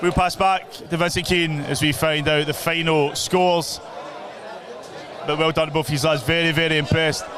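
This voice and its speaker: Over noticeable background noise, a man with a Scottish accent speaks in a monotone, flat way at very even loudness. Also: fairly high pitch for a man, moderate pace. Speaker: boxing stream host and commentator. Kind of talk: live commentary; post-fight interview. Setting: boxing show at a social club.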